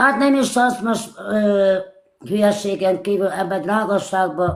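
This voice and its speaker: The woman talks at a very slow pace. Her voice rests at a medium pitch. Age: 60s. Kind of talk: casual chat. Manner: halting.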